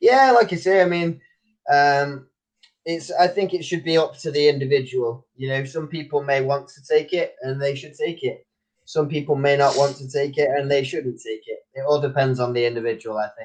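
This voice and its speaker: A man with a Manchester accent talks at a moderate pace in a fairly high pitch, with big swings in loudness. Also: ordinary pitch variation. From northern England, Manchester. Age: young. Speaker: online English tutor. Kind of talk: casual chat. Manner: energetic.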